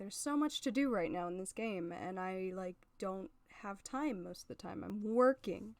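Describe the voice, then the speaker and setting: A soft-spoken woman talks at a medium pitch. Her pitch varies in an ordinary way. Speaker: game streamer. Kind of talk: casual live stream chat. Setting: home, live stream. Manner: projecting loudly.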